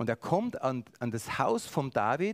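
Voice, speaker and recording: The pace of this man's speech is very slow. Very wide pitch swings mark his delivery. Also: very clean recording, silent background. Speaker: preacher. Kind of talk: sermon.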